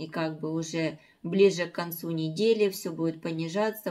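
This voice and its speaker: A moderate pace and fairly even intonation over a quiet background. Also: woman. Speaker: home vlogger. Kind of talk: casual vlog chat. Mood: calm, early-morning chat. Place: kitchen. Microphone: phone near.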